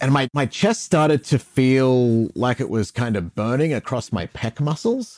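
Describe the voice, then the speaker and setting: This man has an ordinary speaking voice at medium pitch with ordinary pitch variation. He talks at a fairly slow pace with hardly any pauses, and the sound is dry and close with no echo. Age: 40s. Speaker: radio host. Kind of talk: interview.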